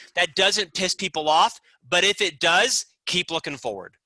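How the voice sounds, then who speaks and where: A man's raised, projected voice, bright and sharp in tone and animated, with a dry, close sound and no echo. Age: 50s. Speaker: business author and executive. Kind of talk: podcast interview.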